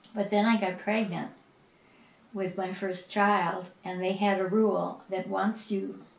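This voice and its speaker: The delivery is monotone and flat at a fairly slow pace. Noticeable background noise and audible room echo fill the recording. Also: woman. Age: 70s. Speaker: piano teacher. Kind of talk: interview.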